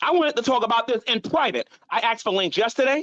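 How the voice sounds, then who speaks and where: A man is shouting. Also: dry, close sound with no echo. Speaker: YouTube streamer. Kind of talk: heated rant on live stream. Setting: live stream. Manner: loud, yelling; repetitive, stammering.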